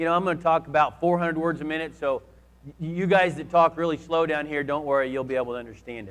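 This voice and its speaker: This man's pitch is high. He speaks at a very fast pace. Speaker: conference speaker on grazing; cattle grazier. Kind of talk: conference presentation. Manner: repetitive, many restarts.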